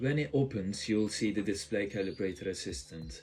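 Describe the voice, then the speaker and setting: At a moderate pace, a man with a fairly low pitch and a strong non-native accent speaks with lively intonation. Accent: thick non-native. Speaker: tech youtuber. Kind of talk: tutorial.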